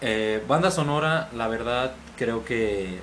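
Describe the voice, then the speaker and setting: A man speaks at a medium pitch with lively intonation. Audible room echo and noticeable background noise surround him. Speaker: podcast guest. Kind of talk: casual chat.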